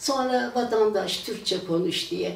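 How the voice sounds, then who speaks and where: The speech moves at a very slow pace. Noticeable background noise and audible room echo are present. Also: woman. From Turkey, Pendik (Istanbul). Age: 80s+. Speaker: retired teacher. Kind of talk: oral history testimony. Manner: halting, many filler sounds.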